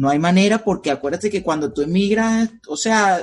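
This man's high pitch comes through at a fairly quick pace. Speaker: podcast host. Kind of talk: casual interview chat.

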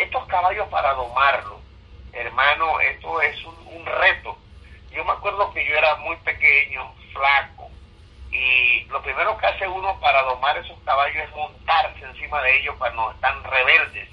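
A man's loudness swings widely as he talks at a moderate pace against noticeable background noise. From Panama, Herrera province. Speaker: pastor. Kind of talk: sermon. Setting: prayer group broadcast. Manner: hesitant, frequent 'eh' fillers.

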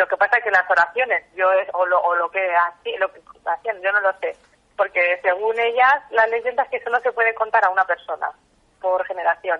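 She has a plain, everyday voice at a medium pitch for a woman. Her pace is moderate and her pitch variation ordinary. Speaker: local folklore expert. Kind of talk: interview.

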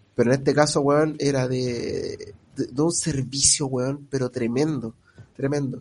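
At a moderate pace, a man speaks in a Chilean accent with a fairly high pitch. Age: 30s. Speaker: podcast co-host. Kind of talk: casual chat.

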